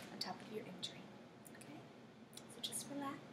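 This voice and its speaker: Over loud background noise, a woman speaks softly in a soothing tone. Her pace is fairly quick. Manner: soft, soothing ASMR voice. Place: home room. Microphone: webcam.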